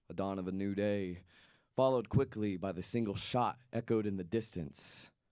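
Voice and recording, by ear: A natural voice, reading aloud.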